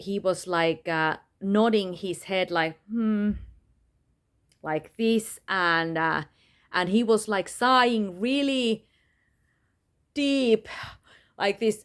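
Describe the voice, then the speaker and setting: On a very clean recording with a silent background, a woman with a non-native accent speaks at medium pitch with ordinary variation. Her pace is very slow, with long, frequent pauses. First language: not English. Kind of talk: personal testimony monologue. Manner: halting, many fillers.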